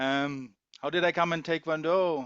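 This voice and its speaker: A man with a German accent. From Germany. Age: 50s. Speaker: taekwondo umpire and customs investigator. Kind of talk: casual interview. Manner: hesitant, with fillers.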